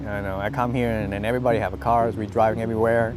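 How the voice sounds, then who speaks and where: Speech comes at a very fast pace amid noticeable background noise and audible room echo. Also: man. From Vietnam. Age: 30s. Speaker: National Guard soldier. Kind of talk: interview testimony. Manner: halting.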